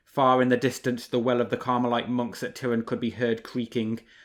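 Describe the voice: Someone is doing plain reading aloud.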